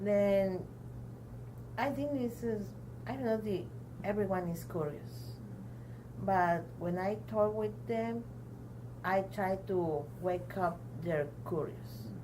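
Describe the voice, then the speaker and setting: A woman with a Mexican accent speaks very slowly, with long, frequent pauses. Noticeable background noise and audible room echo fill the recording. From Mexico (Tampico). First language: Spanish. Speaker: adult learner, community program member. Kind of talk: interview testimony. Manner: halting, many hesitations.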